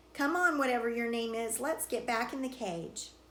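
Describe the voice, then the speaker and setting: A woman growls in a gruff, put-on character voice, high in pitch and at a moderate pace. Background noise is clearly heard. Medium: read story. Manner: gruff, growling.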